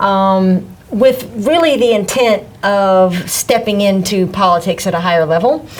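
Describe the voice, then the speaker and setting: A woman talks at a fairly slow pace with a Southern US accent, very even loudness and ordinary pitch variation. Noticeable background noise can be heard. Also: medium pitch for a woman. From US South, Mississippi. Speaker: political candidate. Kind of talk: interview.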